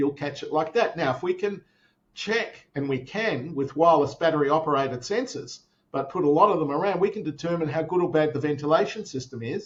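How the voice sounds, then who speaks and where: Speaking at a fairly quick pace with an Australian accent, a man uses a fairly high pitch and ordinary pitch variation. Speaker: tech company founder. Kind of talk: interview. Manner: many fillers and repetitions.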